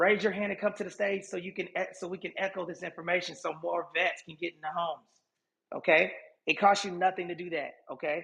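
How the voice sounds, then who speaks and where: A fairly quick pace with big swings in loudness and a bright, sharp tone. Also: man, high pitch for a man. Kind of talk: live social audio room talk. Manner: animated.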